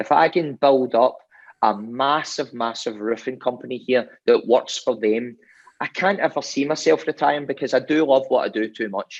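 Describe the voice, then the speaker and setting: A man with a Scottish accent, medium-pitched, with ordinary pitch variation and a moderate pace against a quiet background. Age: 40s. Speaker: roofing business owner. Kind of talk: interview.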